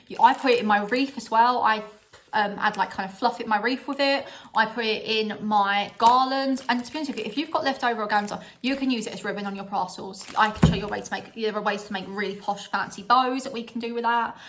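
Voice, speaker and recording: Her voice fairly high, a woman with a strong British accent talks at a very fast pace, her loudness swinging widely. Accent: strong regional UK. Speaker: vlogger. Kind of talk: casual haul vlog. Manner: animated.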